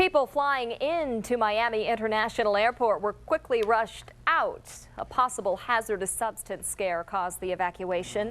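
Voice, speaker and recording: An ordinary speaking voice at a moderate pace, with lively intonation and hardly any pauses. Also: woman, fairly high pitch for a woman. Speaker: news anchor. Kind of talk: local TV newscast anchor read.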